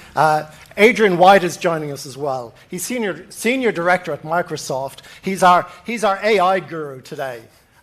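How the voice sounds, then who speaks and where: Speaking at a moderate pace in an Irish accent, a man uses a high pitch and lively intonation, with big swings in loudness. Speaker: panel moderator. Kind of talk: moderated panel discussion. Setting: stage with live audience. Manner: halting, many fillers.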